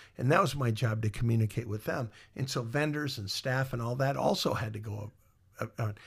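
On a very clean recording with a silent background, a man with an American accent and medium pitch talks at a very fast pace with ordinary pitch variation. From Iowa. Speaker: musician and former mall marketing director. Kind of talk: interview storytelling. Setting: studio, in person. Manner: halting with many fillers.

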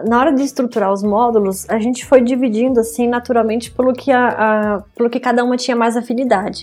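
Speaking at a very fast pace, a woman leaves hardly any pauses. Her intonation stays fairly even. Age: 30s. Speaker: graphic designer. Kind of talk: interview.

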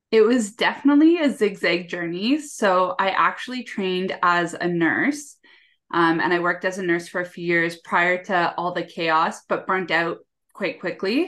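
A woman with a Canadian accent in an ordinary speaking voice, lively intonation, moderate pace. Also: medium pitch for a woman. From Canada. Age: 20s. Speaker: executive assistant and time management coach. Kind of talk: casual interview chat. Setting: video call.

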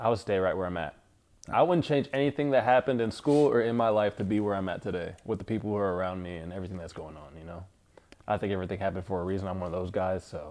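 Talking at a very fast pace in an American accent, a man with a fairly low pitch shows ordinary pitch variation and big swings in loudness. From Northern California (Fremont, Sacramento). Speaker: entrepreneur. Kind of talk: casual chat.

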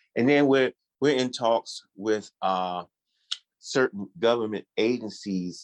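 A man with an ordinary speaking voice and an American accent speaks at a fairly slow pace with ordinary pitch variation, in a dry, close sound with no echo and a quiet background. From Washington DC. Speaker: chef and food entrepreneur. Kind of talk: casual interview.

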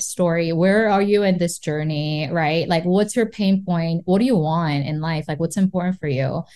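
In a Korean accent, a woman speaks at a medium pitch with a dark, mellow tone. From South Korea. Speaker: real estate investor and entrepreneur. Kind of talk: casual interview chat.

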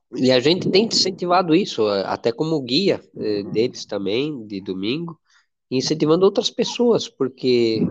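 Very wide pitch swings mark a man's fairly slow speech. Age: 60s. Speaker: nonprofit president. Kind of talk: interview. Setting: audio live.

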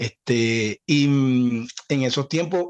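A man with a Zulian Venezuelan accent and lively intonation, in a dry, close sound with no echo. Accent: Zulian Venezuelan Spanish with voseo. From Venezuela, Cabimas (Zulia). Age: 40s. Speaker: singer and podcast co-host. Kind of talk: casual chat.

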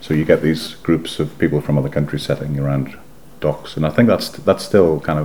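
Over noticeable background noise, a man with a very deep, low pitch speaks at a fairly quick pace. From northeast England, South Shields. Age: 50s. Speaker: former photographer, local historian. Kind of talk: oral history interview.

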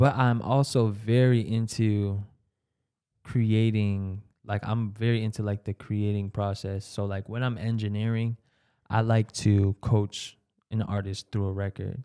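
A man with an American accent speaks slowly in a fairly low, dark, mellow voice with monotone, flat intonation. The sound is dry and close, with no echo. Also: very clean recording, silent background. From Brockton, Massachusetts, Cape Verdean family. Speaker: music producer and engineer. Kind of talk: casual interview chat.

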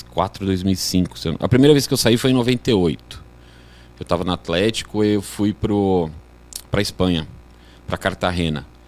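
Lively intonation carries this fairly slow delivery. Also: man, very deep, low pitch for a man. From Brazil, Guarulhos (São Paulo). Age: 40s. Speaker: sports betting trader, former futsal player. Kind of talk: casual podcast interview.

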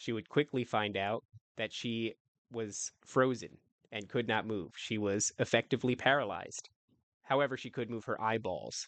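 Against a quiet background, a man with an unremarkable speaking voice talks at medium pitch with fairly even intonation, in a dry, close sound with no echo. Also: moderate pace. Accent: American. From New Jersey. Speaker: podcast host. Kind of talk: ghost story telling, spooky paranormal narration, first-person anecdote. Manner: hushed suspenseful pacing, building tension, vivid scene-setting.

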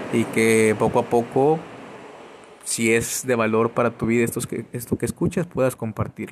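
Using fairly even intonation, a man talks at a moderate pace with a medium pitch. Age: 30s. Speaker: podcaster and entrepreneur. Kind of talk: motivational monologue. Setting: outdoors. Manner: halting.

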